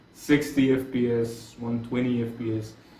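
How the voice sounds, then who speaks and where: A man with a non-native accent is heard through audible room echo and noticeable background noise. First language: Arabic. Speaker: gaming YouTuber. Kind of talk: casual gaming commentary. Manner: halting, many self-corrections.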